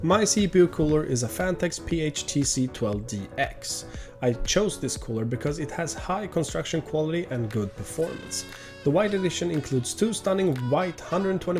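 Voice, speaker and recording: Music plays behind a man with a Swedish accent and an upbeat tone. His fairly high voice moves at a moderate pace with very wide pitch swings. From Sweden. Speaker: PC hardware YouTuber. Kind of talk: PC tour talk to camera.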